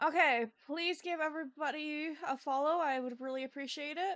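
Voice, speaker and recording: A woman talks at a high pitch. She is soft-spoken. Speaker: game streamer. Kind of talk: live gameplay stream chat. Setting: live stream. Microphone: too quiet at first.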